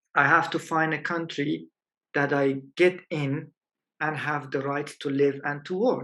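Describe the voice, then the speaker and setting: Fairly slow in pace, a man speaks with a fairly high pitch and a bright, sharp tone. His intonation is fairly even. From Afghanistan, grew up partly in Iran. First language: Persian (Dari). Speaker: photojournalist. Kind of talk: interview. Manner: halting.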